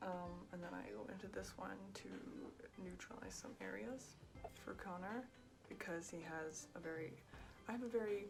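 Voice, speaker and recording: A soft-spoken woman at a moderate pace, with music in the background. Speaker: cosplayer. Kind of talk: makeup tutorial talk to camera.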